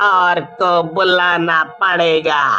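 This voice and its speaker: A man's cartoonish character voice, high-pitched and very slow, over clear background music. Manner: scolding, authoritative.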